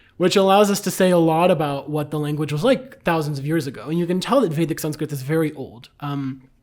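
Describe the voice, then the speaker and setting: Barely pausing at all, a man with a Bulgarian accent speaks at a very fast pace, his fairly high pitch showing ordinary variation. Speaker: Sanskrit scholar. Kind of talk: conversational discussion. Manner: frequent filler ums.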